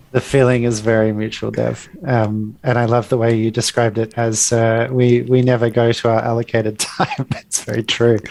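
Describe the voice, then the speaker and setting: With an Australian accent, a man of medium pitch speaks at a moderate pace in a monotone, flat way, hardly pausing. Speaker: product manager and agile coach. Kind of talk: casual interview.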